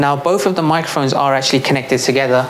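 There is clear background noise as a man speaks at a fast pace. His pitch is medium, with ordinary pitch variation.

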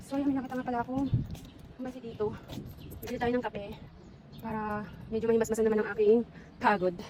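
Her pitch fairly high and her intonation fairly even, a woman talks at a very fast pace yet leaves long, frequent pauses. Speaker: vlogger. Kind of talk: walking vlog. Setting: outdoors.

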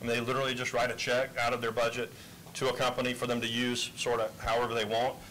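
Very fast male speech, flat and monotone, very even in loudness, over light background noise. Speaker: chamber of commerce executive; panelist. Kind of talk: committee testimony. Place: hall. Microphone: handheld.

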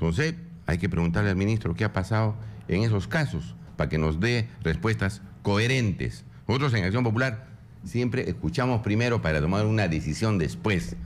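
With very even loudness, a man speaks at a fairly low pitch, using very wide pitch swings and vocal fry. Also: moderate pace. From Peru, Puno. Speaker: congressman. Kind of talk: political radio interview. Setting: radio studio.

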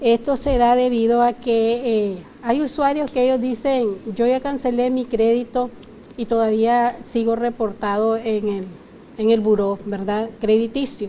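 Light background noise sits under a woman speaking at a fairly slow pace, her fairly high-pitched voice dark and mellow in tone with fairly even intonation. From Nicaragua. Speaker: consumer rights advisor. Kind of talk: TV interview. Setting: TV studio. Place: studio. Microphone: lapel.

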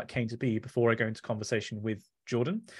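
Over a quiet background, a man with an English accent speaks at a very fast pace in a somewhat breathy voice. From England. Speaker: author and science communicator. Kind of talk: book talk presentation. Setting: video call. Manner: soft-spoken. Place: home room. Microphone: studio mic.

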